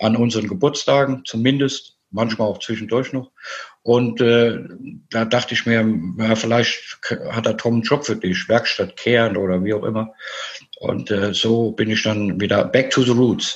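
A man speaks with a plain, everyday voice at medium pitch. His intonation stays fairly even. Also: moderate pace. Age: 50s. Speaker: amputee with leg prosthesis. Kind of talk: casual interview.

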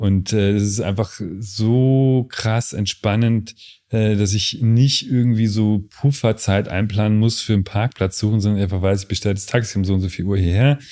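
Over a silent background in a very clean recording, a man with a dark, mellow tone talks at a moderate pace with fairly even intonation. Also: fairly low pitch for a man. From Lower Bavaria, Germany. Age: 30s. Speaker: photographer. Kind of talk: casual interview.

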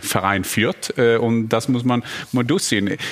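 In a Norwegian accent, a man speaks at a fairly slow pace. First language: Norwegian (speaking German). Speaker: football pundit, former striker. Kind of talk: talk show panel discussion.

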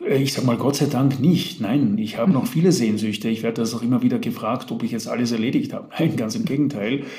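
The speech is very fast with hardly any pauses and ordinary pitch variation. Noticeable background noise and audible room echo are present. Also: man, medium pitch for a man. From Vienna, Austria. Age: 50s. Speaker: author and business coach. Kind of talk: interview. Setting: remote call.

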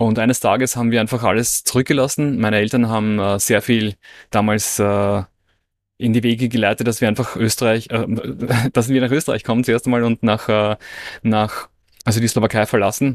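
With a dry, close sound with no echo and a silent background in a very clean recording, a man at medium pitch talks at a fairly quick pace in a monotone, flat way, with long, frequent pauses and very even loudness. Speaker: online entrepreneur and business coach. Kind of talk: casual interview conversation.

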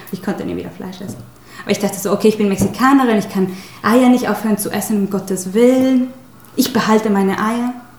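Fast-paced speech, very quick overall, holds fairly even intonation but shows big swings in loudness amid noticeable background noise. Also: woman, medium pitch for a woman. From Mexico. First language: Spanish (speaking German). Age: 30s. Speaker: spiritual healer. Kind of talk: interview.

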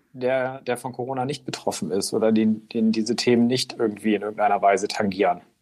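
A man delivers his lines fairly quickly, his medium pitch showing ordinary variation. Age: 40s. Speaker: newspaper reporter. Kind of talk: casual interview. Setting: remote call. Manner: hesitant with fillers.

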